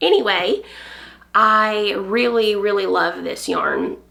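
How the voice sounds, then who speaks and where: With a Southern US accent, a woman talks at a medium pitch over noticeable background noise. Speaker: knitting podcaster. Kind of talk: casual chat. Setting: home on a farm.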